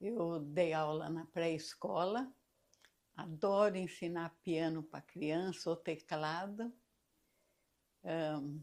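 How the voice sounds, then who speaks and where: At a very slow pace with long, frequent pauses, the speaker shows ordinary pitch variation. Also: woman, fairly low pitch for a woman. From Brazil, São Paulo state interior (Marília). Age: 70s. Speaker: retired art and piano teacher. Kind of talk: interview.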